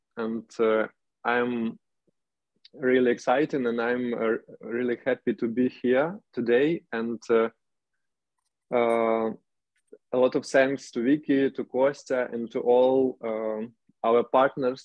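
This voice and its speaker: In a Ukrainian accent, a man speaks at a very slow pace in a monotone, flat intonation, with long, frequent pauses. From Ukraine, Chernihiv. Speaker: urban activist. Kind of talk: video call discussion. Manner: halting.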